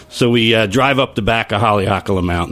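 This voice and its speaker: A man with an American accent, fairly low pitch and a very fast pace, over noticeable background noise. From Long Island, New York. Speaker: brewer. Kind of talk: casual chat.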